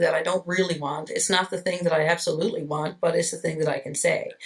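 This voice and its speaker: A woman's fairly low-pitched voice is heard with noticeable noise behind it. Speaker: librarian. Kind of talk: interview. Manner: halting, with repetitions.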